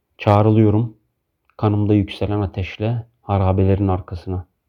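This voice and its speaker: A man speaks with a fairly low pitch. His delivery is monotone, with flat intonation. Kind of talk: poem reading. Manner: slow, measured, reflective.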